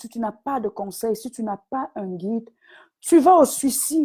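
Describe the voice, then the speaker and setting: A woman talks at a very slow pace. Her fairly high voice has lively intonation. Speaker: business coach. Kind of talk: live stream talk. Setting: online live video.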